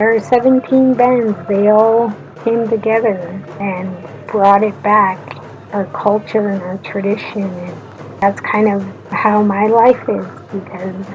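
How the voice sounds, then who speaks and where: A woman at medium pitch with fairly even intonation, speaking at a very slow pace over noticeable background noise. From Secwepemc (Shuswap) Nation, British Columbia, Canada. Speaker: university student. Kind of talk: personal talk for a class assignment.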